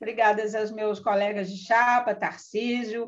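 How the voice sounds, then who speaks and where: A woman speaks at a fairly slow pace. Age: 60s. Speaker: pension fund board candidate. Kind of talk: live stream panel talk. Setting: online live stream. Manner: hesitant, many fillers.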